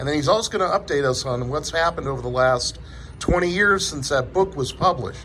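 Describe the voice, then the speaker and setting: A man talks with lively intonation at a fairly quick pace and a fairly high pitch, with noticeable background noise around him. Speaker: truck driver, interviewer. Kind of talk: casual talk to camera.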